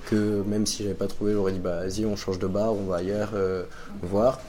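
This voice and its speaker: A man speaks at a fairly low pitch over noticeable background noise, with audible room echo. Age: 20s. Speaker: web project manager and amateur DJ. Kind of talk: testimony. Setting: café.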